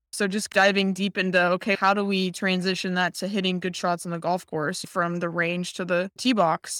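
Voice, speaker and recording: The speech moves at a moderate pace with hardly any pauses and monotone, flat intonation in an American accent. The recording is very clean, with a silent background. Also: woman, medium pitch for a woman, dry, close sound with no echo. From Nevada, US. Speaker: professional golfer. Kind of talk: casual interview.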